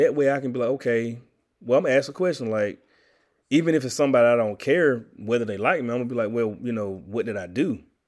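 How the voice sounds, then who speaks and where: Recorded very cleanly with a silent background, a man speaks at a very fast pace. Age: 30s. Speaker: podcast host. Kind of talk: solo monologue podcast. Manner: casual, conversational.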